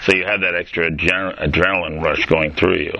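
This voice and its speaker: Very fast talking from a man, with noticeable background noise all around. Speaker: podcast host. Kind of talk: casual interview.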